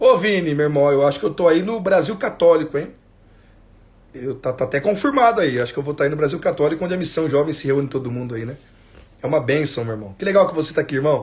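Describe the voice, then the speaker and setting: Pitched fairly high for a man, this male voice races along at a very fast pace, somewhat breathy, with lively intonation. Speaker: catechism teacher. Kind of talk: religious instruction livestream. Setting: Instagram livestream at home.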